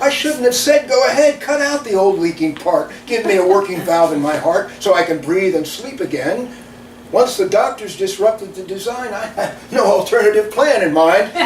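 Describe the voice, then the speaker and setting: Noticeable background noise is present. The intonation rises and falls in a lively way. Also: man, high pitch for a man, moderate pace. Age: 70s. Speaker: poet. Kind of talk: reading aloud.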